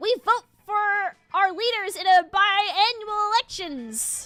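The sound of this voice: Over faint music in the background, a put-on character voice at an extremely high pitch moves at a fairly slow pace.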